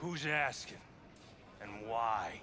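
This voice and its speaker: A man's raspy, put-on character voice at medium pitch with clear background noise. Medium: video game. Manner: blunt, clipped.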